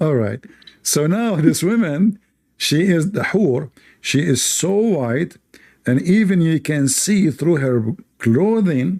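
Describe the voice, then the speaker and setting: With an Arabic accent, a man talks very slowly in a fairly high, dark and mellow voice whose pitch swings very widely. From Middle East. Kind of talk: live debate with callers.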